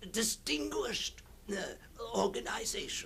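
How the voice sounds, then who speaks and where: A man performs in a put-on character voice. Clear background noise runs underneath. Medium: old radio play. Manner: halting, stammering, repetitive, wandering.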